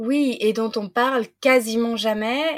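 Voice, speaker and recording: On a very clean recording with a silent background, a woman speaks fairly slowly at a fairly high pitch with ordinary pitch variation. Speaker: podcast host. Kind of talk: interview. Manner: animated.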